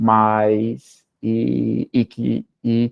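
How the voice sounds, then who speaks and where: A man is speaking. His pitch is medium. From northern Brazil. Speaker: professor. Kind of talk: talk with Q&A. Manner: halting.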